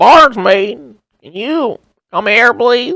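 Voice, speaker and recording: A man talks in a put-on character voice pitched extremely high. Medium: actual play. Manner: friendly, hesitant.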